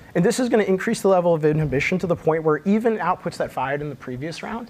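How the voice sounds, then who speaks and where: Speech comes at a very fast pace with lively intonation. Noticeable background noise is present. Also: man. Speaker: conference speaker, researcher. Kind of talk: conference talk.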